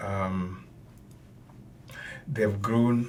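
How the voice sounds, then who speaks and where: A man with a Tanzanian accent speaks at a fairly low pitch with fairly even intonation. His voice is somewhat breathy, with audible room echo. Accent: Tanzanian (Matengo) accent in English. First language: Matengo. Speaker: professor. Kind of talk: lecture-style commentary. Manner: measured, with many filler sounds.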